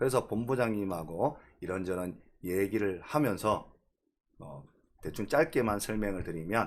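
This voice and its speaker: A man's fairly low voice, lively in intonation, at a fairly slow pace with long, frequent pauses and big swings in loudness, in a very clean recording with a silent background. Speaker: real estate YouTuber. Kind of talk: live-streamed lecture.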